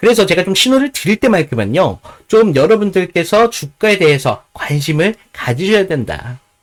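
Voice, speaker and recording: This man's voice is high-pitched, with very wide pitch swings, and he talks at a moderate pace. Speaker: stock market commentator. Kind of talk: stock analysis commentary. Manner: hesitant, many fillers.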